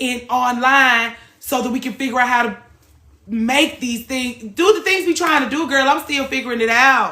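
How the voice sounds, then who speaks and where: A loud woman with a bright, sharp tone and a high pitch. Her pitch moves in an ordinary way. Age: 30s. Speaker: livestream host, former hairstylist. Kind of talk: casual chat. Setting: live stream.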